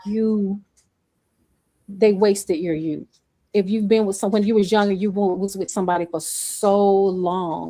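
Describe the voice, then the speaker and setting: At a moderate pace with long, frequent pauses, a woman speaks at medium pitch with fairly even intonation. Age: 50s. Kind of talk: casual chat.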